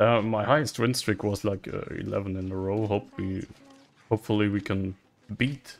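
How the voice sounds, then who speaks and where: A man with a non-native accent, fairly low pitch, and a moderate pace. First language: not English. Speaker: casino streamer. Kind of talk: live gameplay commentary. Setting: online live casino stream. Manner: excitable, swears often.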